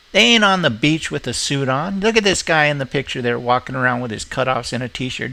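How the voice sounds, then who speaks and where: This bright, sharp voice moves at a fairly quick pace through very wide pitch swings. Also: man. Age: 60s. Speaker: video blogger. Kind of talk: casual rant.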